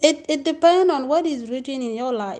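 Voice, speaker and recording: A woman with a non-native accent speaks at a fairly slow pace in a dark, mellow tone. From Africa. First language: not English. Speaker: spiritual teacher. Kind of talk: casual monologue. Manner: halting.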